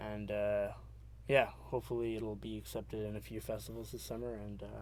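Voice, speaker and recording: Audible room echo fills the space. The man in it speaks fairly quickly. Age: 20s. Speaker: aspiring filmmaker. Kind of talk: casual interview. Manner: halting, many fillers.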